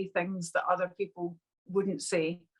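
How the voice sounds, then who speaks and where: A woman speaks with a strong Scottish accent, the sound dry and close with no echo. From Scotland, Glasgow. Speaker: business mindset coach. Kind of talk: interview podcast. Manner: loud; energetic.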